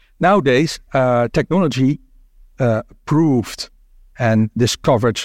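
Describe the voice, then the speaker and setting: In a Dutch accent, a man talks at a fairly slow pace with ordinary pitch variation, and the very clean recording has a silent background and a dry, close sound with no echo. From Netherlands. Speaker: internist immunologist, symposium chair. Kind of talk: moderated medical symposium. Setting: stage with audience. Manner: halting, many fillers.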